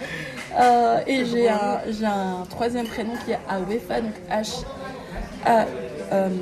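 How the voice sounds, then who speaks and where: A woman's fairly high voice at a very slow pace, with audible room echo and crowd noise in the background. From Belgium, Brussels. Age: 30s. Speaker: teacher and artist. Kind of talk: interview. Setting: café. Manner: soft-spoken; hesitant.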